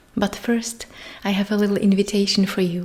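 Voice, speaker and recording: Soft-spoken and calm, a woman talks in a dark, mellow tone that is somewhat breathy. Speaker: meditation guide. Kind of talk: meditation intro talk. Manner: soft, calm.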